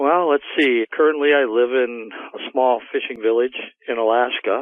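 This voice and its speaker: A man with an American accent, a normal speaking voice, medium pitch and a moderate pace. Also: fairly even intonation. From US Midwest, Illinois (Will County). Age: 60s. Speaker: retired electrician telling an encounter story. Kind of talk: interview.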